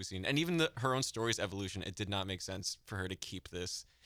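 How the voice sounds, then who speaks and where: On a very clean recording with a silent background, a man with an American accent speaks at a very fast pace, his very deep, low pitch paired with a bright, sharp tone. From New Hampshire, US. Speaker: entertainment writer, podcast co-host. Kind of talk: casual chat.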